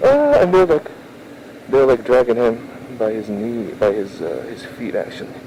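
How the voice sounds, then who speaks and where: A man speaks at a fairly slow pace, leaving long, frequent pauses. His loudness swings widely, and there is noticeable background noise. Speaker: motovlogger. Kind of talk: casual vlog narration while riding. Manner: quiet.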